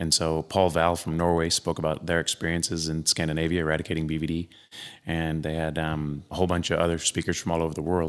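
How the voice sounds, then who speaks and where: Speaking at a very fast pace, a man with an American accent has a very deep, low pitch. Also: very clean recording, silent background. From US, eastern Colorado (rural). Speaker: cattle veterinarian. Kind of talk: podcast interview, storytelling. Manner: animated, casual with fillers.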